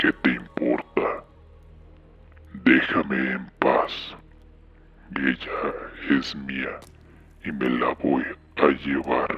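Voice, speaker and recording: In a put-on character voice, a man whispers at a very slow pace with long, frequent pauses. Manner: slow, paused, defiant.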